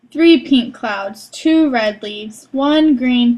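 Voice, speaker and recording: A woman puts on a character voice pitched high. She speaks at a very slow pace. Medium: read story.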